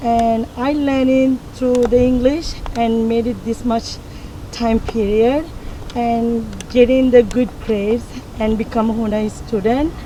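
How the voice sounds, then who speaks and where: Over noticeable background noise, a woman with a non-native accent speaks fairly slowly in a fairly high, monotone, flat voice. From Sri Lanka. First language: not English. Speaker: community college graduate. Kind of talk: testimony.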